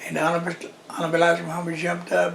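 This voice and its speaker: There is noticeable background noise as a man talks at a high pitch. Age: 80s+. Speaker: Nation of Islam pioneer, former minister. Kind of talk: interview, oral history. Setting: at his daughter's house.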